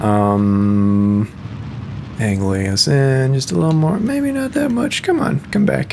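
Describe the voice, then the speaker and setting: This man has an American accent. Behind him, background noise is noticeable. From US Midwest. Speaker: musician and gamer. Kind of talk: casual gameplay commentary. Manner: casual, with filler words.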